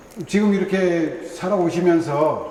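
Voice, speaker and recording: Noticeable background noise accompanies a man whose high voice keeps a fairly even intonation. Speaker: interviewer, former university president. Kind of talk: interview questions.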